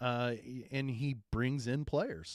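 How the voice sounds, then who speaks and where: A plain, everyday voice from a man at medium pitch, at a fairly slow pace. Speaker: sports podcast co-host, former coach. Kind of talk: casual sports talk.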